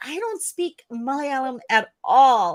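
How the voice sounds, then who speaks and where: A woman with an American accent, lively intonation and a fairly slow pace, in a very clean recording with a silent background. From United States. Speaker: English teacher. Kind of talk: educational live stream.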